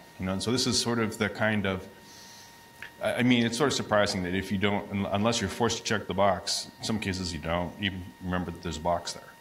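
Through noticeable background noise, a man speaks very fast in a fairly low voice with fairly even intonation. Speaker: audience member and academic. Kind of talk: audience Q&A. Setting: audience microphone in a hall.

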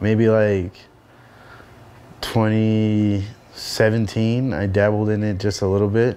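Monotone and flat, a man's voice carries a dark, mellow tone. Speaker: interviewee. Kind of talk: interview answer. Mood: casual, reflective. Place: home room.

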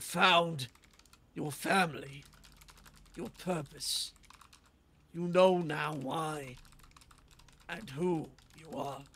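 Putting on a character voice, a man with a fairly high pitch talks at a very slow pace with long, frequent pauses. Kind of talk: fantasy roleplay. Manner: wise, fatherly, solemn.

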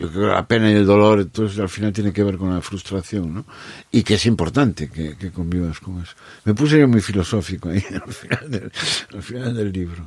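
Using an ordinary speaking voice, a man talks at a fairly quick pace with a fairly low pitch and ordinary pitch variation. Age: 60s. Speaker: musician and writer. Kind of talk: casual chat.

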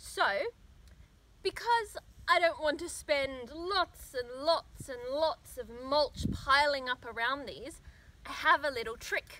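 Raised and projected with an Australian accent, the bright, sharp voice moves very slowly with lively intonation and big swings in loudness, the sound dry with no echo. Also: woman. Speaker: gardening vlogger. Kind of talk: tutorial. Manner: casual. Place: garden.

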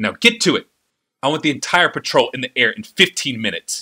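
Doing a put-on character voice, a man growls at a fairly high pitch and fairly quick pace, his pitch swinging very widely and his loudness shifting in big jumps. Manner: snarling, icy.

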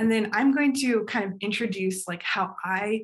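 In a quiet background, a woman talks at a moderate pace. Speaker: panel moderator and graphic designer. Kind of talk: panel discussion. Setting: video call. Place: home room. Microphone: video call.

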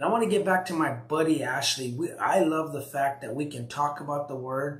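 A man speaks at medium pitch and a moderate pace, with ordinary pitch variation. His tone is fairly bright, and audible room echo surrounds it.

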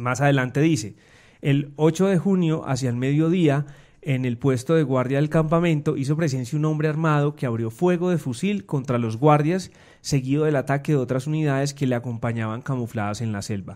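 A man with an unremarkable speaking voice, a fairly high pitch and ordinary pitch variation. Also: moderate pace, very clean recording, silent background. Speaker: news editor. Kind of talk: news podcast discussion.

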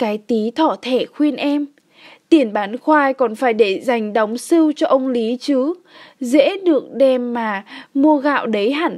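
The recording is very clean, with a silent background. A woman speaks very slowly at a high pitch, with ordinary pitch variation. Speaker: audiobook narrator. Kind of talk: audiobook reading of a novel.

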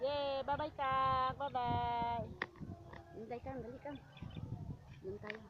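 A woman talks at a very slow pace with long, frequent pauses. Noticeable background noise is present. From Mindanao, Philippines. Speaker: vlogger. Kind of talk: casual vlog narration. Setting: outdoors. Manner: halting.

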